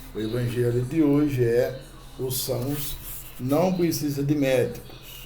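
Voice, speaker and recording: With noticeable background noise and audible room echo, a man speaks at a very slow pace and a fairly high pitch with fairly even intonation. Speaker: spiritist channel host. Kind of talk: religious teaching talk. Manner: halting, many fillers; soft-spoken.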